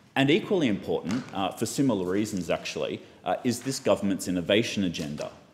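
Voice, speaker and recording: A man with an Australian accent talks at a very fast pace over light background noise. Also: lively intonation. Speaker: politician. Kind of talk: parliamentary speech. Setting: parliament chamber. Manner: formal. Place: hall. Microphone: podium.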